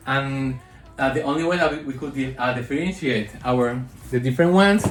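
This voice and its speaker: At a fairly quick pace, the voice moves with ordinary pitch variation while room echo is audible. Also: man. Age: 60s. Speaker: lifestyle vlogger. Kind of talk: casual unboxing vlog. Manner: animated.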